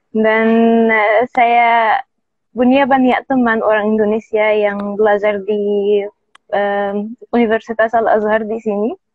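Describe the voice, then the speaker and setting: The speaker has an Arabic accent and talks at a very slow pace. The intonation is monotone and flat. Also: woman, fairly high pitch for a woman. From Egypt. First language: Arabic (speaking Indonesian). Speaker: native speaker guest, Indonesian learner. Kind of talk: interview conversation. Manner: halting, with hesitations.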